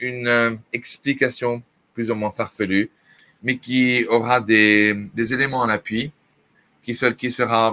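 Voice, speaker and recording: Bright and sharp in tone, this man's flat, monotone delivery moves at a very slow pace with long, frequent pauses. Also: medium pitch for a man. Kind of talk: interview talk on prophecy. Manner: hesitant, many fillers.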